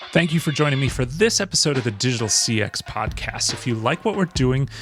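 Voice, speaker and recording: A man's very fast, lively-intoned speech at medium pitch with an American accent, music in the background. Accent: sounds American. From Austria, with American mother. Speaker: podcast host. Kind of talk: interview podcast; scripted outro.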